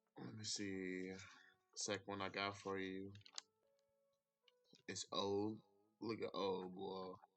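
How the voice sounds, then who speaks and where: Over music in the background, a man talks at a very slow pace in a monotone with flat intonation, leaving long, frequent pauses. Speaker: stock trading YouTuber. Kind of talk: casual tutorial. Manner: casual, repetitive.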